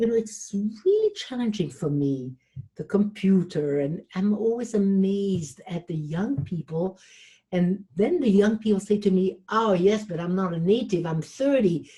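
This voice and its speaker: A woman speaks at a moderate pace with a medium pitch and lively intonation. Her voice is somewhat breathy, with a dark, mellow tone. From Switzerland. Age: 70s. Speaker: relationship coach and motivational speaker. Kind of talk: interview.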